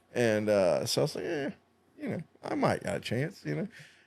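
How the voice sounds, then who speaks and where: This man has an American accent. His pitch sits in the medium range. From Southern California. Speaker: tattoo artist and musician. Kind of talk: casual podcast chat, storytelling. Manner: animated, energetic storytelling.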